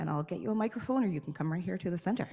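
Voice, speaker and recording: A woman speaks with a Newfoundland accent and lively intonation. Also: very clean recording, silent background. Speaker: session moderator. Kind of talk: event moderation, introducing speakers. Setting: stage at a conference, with microphones.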